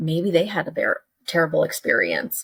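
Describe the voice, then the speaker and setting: A woman in an American accent, somewhat breathy and animated in tone, at a moderate pace. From Texas, Dallas-Fort Worth. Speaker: curriculum developer and educator. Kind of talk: casual interview chat. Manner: animated, conversational with many fillers.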